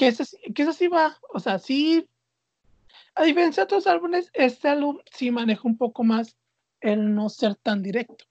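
A woman with a high voice talks at a moderate pace, her pitch swinging very widely between long, frequent pauses, in a dry, close sound with no echo. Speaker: podcast host. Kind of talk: casual chat.

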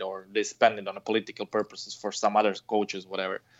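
A man with a Croatian accent at a fairly quick pace. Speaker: fencing coach, former Olympian. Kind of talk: interview. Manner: halting, many fillers and repetitions.

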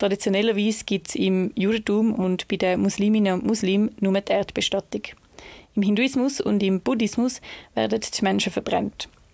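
With a Swiss accent, a woman speaks at a moderate pace and medium pitch, her loudness very even and her intonation fairly even, on a very clean, dry, close recording with a silent background and no echo. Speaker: student podcast host. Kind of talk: scripted narration.

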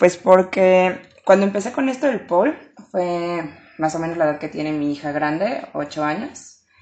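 A woman with an ordinary speaking voice, fairly low in pitch, at a fairly slow pace with lively intonation. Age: 20s. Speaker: pole dance instructor. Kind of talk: interview.

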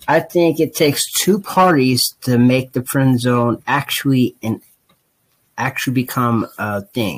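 A man with an American accent talks at a fairly slow pace in a plain, everyday voice, his medium pitch showing ordinary pitch variation. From Ohio, US Midwest. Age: 20s. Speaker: podcast co-host. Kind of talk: casual chat.

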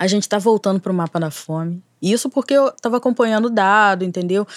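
A woman's plain, everyday voice, medium in pitch, with lively intonation and a fairly quick pace, in a very clean, dry, close recording with no echo and a silent background. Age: 30s. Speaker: cyberactivist and screenwriting student. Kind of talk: casual chat.

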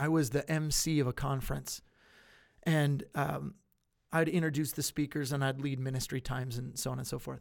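Recorded very cleanly against a silent background, a man with an unremarkable speaking voice talks at a moderate pace, his fairly high pitch held in fairly even intonation. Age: 30s. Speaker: pastor. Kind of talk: live-streamed Bible Q&A.

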